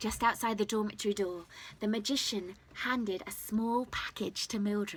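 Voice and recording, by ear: The voice reads aloud in a natural way. Its intonation stays fairly even.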